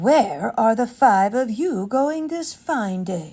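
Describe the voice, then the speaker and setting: In a very clean recording with a silent background, a woman uses a put-on character voice, fairly high in pitch, at a very slow pace. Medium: read story. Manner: smooth, sly, flattering.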